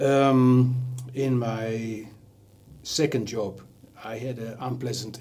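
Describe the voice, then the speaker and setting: With a Dutch accent, a man speaks at a medium pitch in a monotone, flat intonation, with audible room echo and noticeable background noise. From Netherlands. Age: 60s. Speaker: leadership coach. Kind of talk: TV interview.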